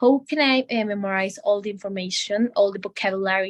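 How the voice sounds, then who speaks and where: A woman speaks at a fairly quick pace with a Bolivian accent, her medium pitch carrying ordinary variation. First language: Spanish. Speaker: medical student. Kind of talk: language lesson conversation. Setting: video call. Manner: halting. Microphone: bad internet connection, freezing.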